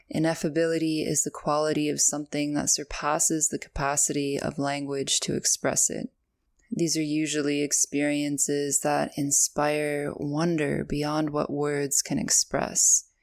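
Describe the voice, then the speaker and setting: On a very clean recording with a silent background and a dry, close sound with no echo, a woman with a Canadian accent speaks at a moderate pace in a very deep, low, monotone, flat voice. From Canada. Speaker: podcast host and app founder. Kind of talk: solo podcast monologue.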